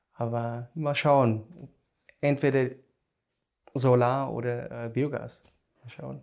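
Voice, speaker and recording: A man with a non-native accent talks at a very slow pace, with long, frequent pauses and big swings in loudness. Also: medium pitch for a man. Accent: foreign accent in German. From South Africa. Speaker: biogas engineer. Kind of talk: casual interview. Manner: halting.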